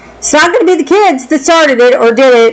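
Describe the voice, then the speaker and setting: A woman with an American accent speaks through noticeable background noise. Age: 60s. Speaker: vlogger and former medical worker. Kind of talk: personal commentary monologue. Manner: animated.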